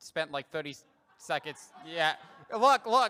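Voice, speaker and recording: Against crowd noise in the background, a man speaks in a raised, projected voice that is high-pitched, with a bright, sharp tone and lively intonation. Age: 20s. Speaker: early-career professional. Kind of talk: conference panel talk.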